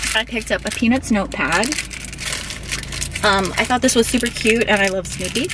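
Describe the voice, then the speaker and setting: With noticeable background noise but a dry sound with no echo, a woman talks at a moderate pace with ordinary pitch variation. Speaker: vlogger. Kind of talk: casual vlog chat, haul. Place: car. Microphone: phone near.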